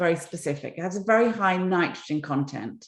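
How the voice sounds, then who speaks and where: A woman's fairly low-pitched voice with an English accent. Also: quiet background. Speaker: environmental entrepreneur. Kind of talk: interview talk, storytelling.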